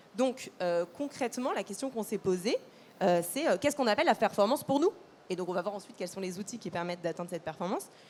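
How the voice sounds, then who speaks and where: Lively intonation runs through a woman's very fast-paced speech. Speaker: customer service manager at a mutual insurer. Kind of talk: panel discussion. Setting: conference stage with audience. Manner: hesitant, many fillers.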